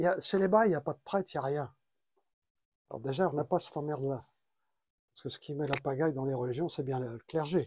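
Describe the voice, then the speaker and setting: A man with a fairly high pitch talks at a very fast pace, somewhat breathy and with ordinary pitch variation. He leaves long, frequent pauses on a very clean recording with a silent background. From France. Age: 80s+. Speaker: traveler and writer. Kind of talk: interview.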